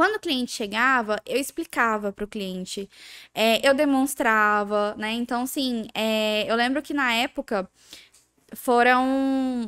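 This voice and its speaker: A woman speaks fairly slowly in a high voice with ordinary pitch variation. The recording is very clean, silent in the background, and dry and close with no echo. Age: 20s. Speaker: eyelash extension entrepreneur. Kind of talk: casual interview chat.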